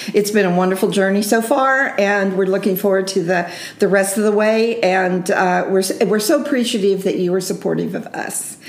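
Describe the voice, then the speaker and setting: Through noticeable background noise, a woman talks at a moderate pace in a medium pitch with fairly even intonation. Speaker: bookstore host. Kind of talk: casual interview.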